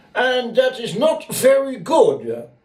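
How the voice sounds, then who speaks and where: Noticeable background noise sits behind a man speaking in an extremely high voice. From Netherlands, Rotterdam. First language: Dutch. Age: 70s. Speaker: eyewitness storyteller. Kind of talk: testimony.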